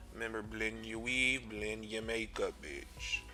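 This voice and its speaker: The pace is very slow. Music plays in the background. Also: man. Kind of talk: comedic voiceover commentary over a makeup tutorial. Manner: sassy, loud, exaggerated, profane.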